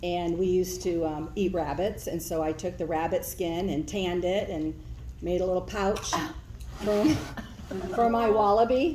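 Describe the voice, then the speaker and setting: Through audible room echo, a woman with a medium pitch and a dark, mellow tone speaks at a fairly slow pace with ordinary pitch variation. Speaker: daughter telling childhood story. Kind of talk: storytelling. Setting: family gathering, no working microphone. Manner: loud.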